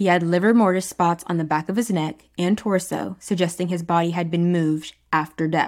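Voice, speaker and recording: Fairly quick and fairly low-pitched, a woman talks with fairly even intonation. She has a plain, everyday voice. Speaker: podcast host. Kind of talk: true-crime documentary narration. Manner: measured, storytelling tone; conversational, addresses listeners directly.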